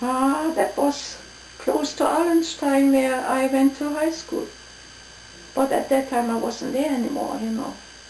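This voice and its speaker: A woman speaks in a German accent at a high pitch, with ordinary pitch variation. Noticeable background noise is present. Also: fairly slow pace. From East Prussia, Germany. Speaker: WWII refugee. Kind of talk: oral history interview answer. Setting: at home.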